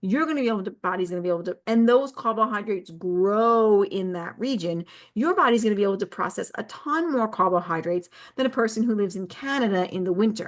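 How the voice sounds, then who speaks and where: The speaker sounds animated, with lively intonation at a fairly quick pace. The background is quiet. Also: woman. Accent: Long Island. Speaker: wellness coach. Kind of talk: casual talk to camera. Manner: rambling, with fillers and restarts.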